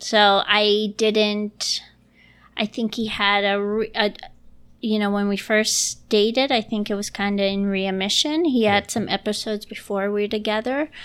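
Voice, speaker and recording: This woman has an ordinary speaking voice with an American accent, medium pitch and fairly even intonation, speaking at a moderate pace on a very clean recording with a silent background. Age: 30s. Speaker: improviser and nanny. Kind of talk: casual interview chat. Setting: home recording in dining room.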